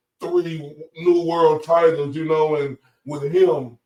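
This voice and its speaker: A man with an American accent talks in an unremarkable speaking voice, his pitch fairly high with ordinary pitch variation. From USA. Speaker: boxing podcast co-host. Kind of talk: casual podcast chat.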